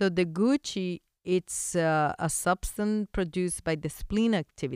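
A woman with a Spanish accent speaks at a fairly slow pace and a fairly low pitch, in a dry, close sound with no echo on a very clean recording with a silent background. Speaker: veterinarian and acupuncture teacher, podcast host. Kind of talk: educational monologue. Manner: friendly, chatty, laughs often.

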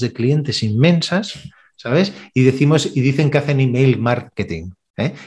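Against a quiet background, a somewhat breathy voice speaks with ordinary pitch variation. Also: man. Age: 50s. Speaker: sales trainer. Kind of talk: interview.

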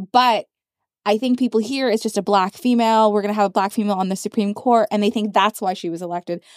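Speaking at a very fast pace, a woman uses a fairly high pitch and fairly even intonation on a very clean, dry, close recording with no echo and a silent background. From Canada. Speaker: podcast host. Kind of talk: casual interview chat. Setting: studio.

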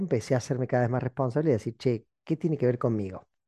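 Dark, mellow tone from a man at medium pitch, dry and close with no echo, against a quiet background. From Argentina (Córdoba). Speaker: podcast host, motivational speaker. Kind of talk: reflective monologue. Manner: halting, with many repetitions; animated.

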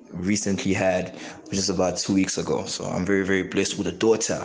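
A man with a fairly low pitch talks amid audible room echo and noticeable background noise. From South Africa, Johannesburg. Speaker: father, artist. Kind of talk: voice note monologue.

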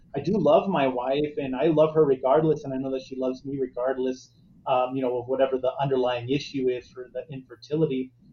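Very fast and somewhat breathy, a man talks at a medium pitch with monotone, flat intonation. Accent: American. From Arizona. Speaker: guest on faith podcast about infertility. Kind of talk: casual interview chat.

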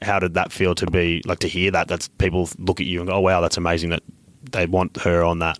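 Very fast and flat, a man with a very deep, low voice speaks in an Australian accent, the sound dry and close with no echo. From Queensland, Australia. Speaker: podcast host. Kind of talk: interview.

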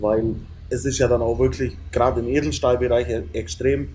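Medium-pitched male voice, dark and mellow in tone with vocal fry, lively intonation and a moderate pace. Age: 30s. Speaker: metalworker and business owner. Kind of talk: casual interview. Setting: indoors on a couch at a camper dealer.

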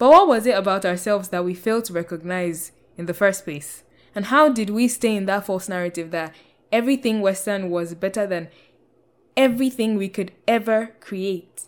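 A woman speaks with a Nigerian accent at a moderate pace, her loudness swinging widely. The recording is very clean, with a silent background. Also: medium pitch for a woman, ordinary pitch variation. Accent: Nigerian (Yoruba) English. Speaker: podcast host. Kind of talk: personal monologue podcast.

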